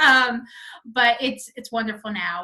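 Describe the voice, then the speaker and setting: A woman's fairly high, bright and sharp voice with a slight Southern US accent, fairly even intonation and a fairly slow pace. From North Carolina. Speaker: hotel representation company founder. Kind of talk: interview.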